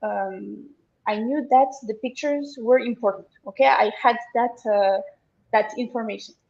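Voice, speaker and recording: The woman speaks with a fairly high pitch and ordinary pitch variation. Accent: French. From France. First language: French. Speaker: online seller, agency client. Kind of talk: interview. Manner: halting, many fillers.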